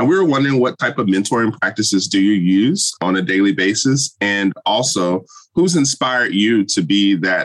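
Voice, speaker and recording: Using a normal speaking voice, a man with a fairly low pitch keeps his loudness very even at a moderate pace. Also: hardly any pauses. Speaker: podcast host and professor. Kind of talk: interview.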